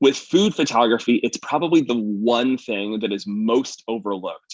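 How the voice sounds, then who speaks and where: Dry, close sound with no echo from a man of medium pitch with ordinary pitch variation. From eastern Canada. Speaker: chef and food photographer. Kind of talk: live presentation. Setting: livestream. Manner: fast; animated.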